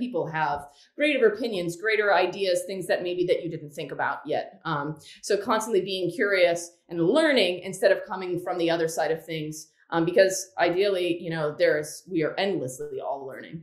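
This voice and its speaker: With audible room echo but a quiet background, a woman speaks at a moderate pace, her pitch fairly low with ordinary variation. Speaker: guest. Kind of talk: interview answer. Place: home room. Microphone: webcam.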